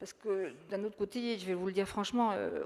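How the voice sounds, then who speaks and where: Medium-pitched speech from a woman, its pitch varying in an ordinary way. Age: 60s. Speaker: local elected official. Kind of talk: panel discussion. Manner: halting.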